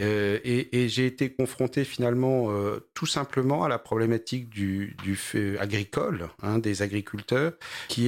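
Very slow male speech at medium pitch in a very clean recording with a silent background. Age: 40s. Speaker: startup founder in agri-food. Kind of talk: interview. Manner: halting.

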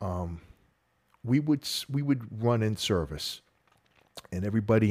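With a Boston accent, a man speaks at a moderate pace and with lively intonation. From Boston North Shore, Massachusetts. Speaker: retired sheriff's officer, author and speaker. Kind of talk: interview.

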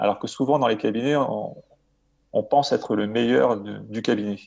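Here a man speaks at a fairly slow pace. His pitch is medium, with ordinary variation. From Marseille, southern France. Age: 40s. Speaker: dental surgeon and author. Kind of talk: interview. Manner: hesitant with frequent fillers.

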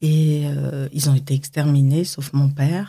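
Very slowly, a woman speaks in a very deep, low pitch with a dark, mellow, somewhat breathy tone and fairly even intonation. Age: 50s. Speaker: makeup artist. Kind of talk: testimony; tutorial. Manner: halting.

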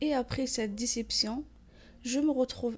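At a fairly slow pace, a woman speaks in a fairly high voice with fairly even intonation. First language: not French (speaking French). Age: 20s. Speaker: store manager. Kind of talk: testimony. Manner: halting.

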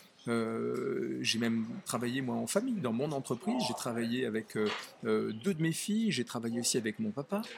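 Noticeable background noise under a man talking at a moderate pace. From Nice area, southern France. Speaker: author. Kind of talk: interview. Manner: halting.

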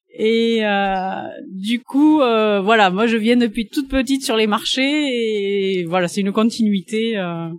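A woman at a very slow pace, her pitch fairly high and its variation ordinary. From Landes, southwest France (Pouillon). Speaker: organic vegetable farmer. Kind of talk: interview.

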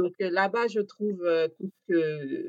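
The speaker is a woman. Her pitch is medium. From Gabon. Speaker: chef. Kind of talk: interview. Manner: hesitant, many fillers.

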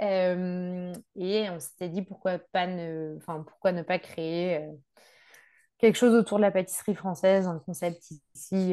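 Over a quiet background, a woman speaks at a fairly slow pace with a fairly low pitch. Her tone is dark and mellow, with ordinary pitch variation. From Brittany, France. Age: 30s. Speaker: agronomist and expatriate. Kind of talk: casual interview. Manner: hesitant, many fillers.

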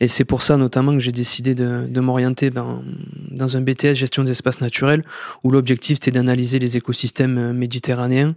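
Talking at a fairly quick pace in a monotone with flat intonation, a man speaks at a medium pitch with a dry, close sound with no echo. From southern France, Sète. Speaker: corporate sustainability director. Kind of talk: interview.

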